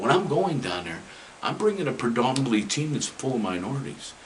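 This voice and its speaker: In an American accent, a man's voice swings very widely in pitch, with audible room echo and noticeable background noise. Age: 60s. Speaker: retired high school football coach. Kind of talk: interview.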